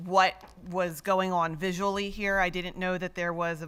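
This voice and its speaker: The voice is loud, with a bright, sharp tone and monotone, flat intonation. It moves at a moderate pace in a very clean recording with a silent background. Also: woman. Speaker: school board member. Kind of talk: public meeting remarks. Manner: assertive.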